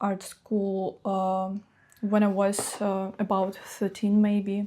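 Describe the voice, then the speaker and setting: Speaking at a very slow pace, a woman with a medium pitch and a dark, mellow tone keeps a flat, monotone intonation on a very clean recording with a silent background. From Russia, Chuvash Republic. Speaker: fine artist. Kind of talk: interview. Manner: halting, hesitant.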